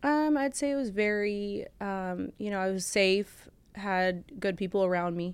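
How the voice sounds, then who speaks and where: A woman with a Californian accent, medium pitch, ordinary pitch variation and a fairly slow pace, on a very clean recording with a silent background. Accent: Californian American. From Orange County, California (born in Bulgaria). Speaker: podcast guest, ex-fiancee of a late singer. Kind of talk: emotional interview. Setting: studio. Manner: halting.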